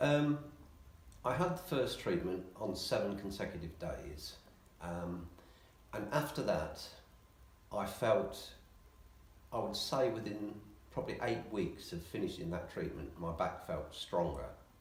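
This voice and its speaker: A man with an English accent at a fairly slow pace, long, frequent pauses and audible room echo. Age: 60s. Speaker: patient. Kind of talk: interview.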